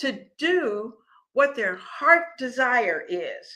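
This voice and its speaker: A woman's high, bright, sharp voice, raised and projected, with very wide pitch swings. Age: 70s. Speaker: cooking and lifestyle show host. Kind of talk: casual livestream talk. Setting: live stream. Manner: conversational, repetitive restarts.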